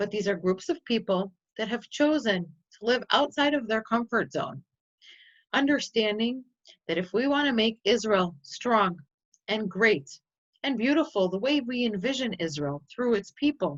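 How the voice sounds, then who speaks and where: Lively intonation runs through the speech, delivered at a moderate pace. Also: woman, fairly high pitch for a woman. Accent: Chicago. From US Midwest, Chicago. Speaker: nonprofit representative and tour presenter. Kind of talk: presentation.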